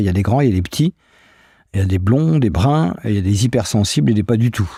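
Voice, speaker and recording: A man with a dark, mellow, somewhat breathy voice talks at a fairly quick pace, in a dry, close sound with no echo on a very clean recording with a silent background. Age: 60s. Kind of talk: interview.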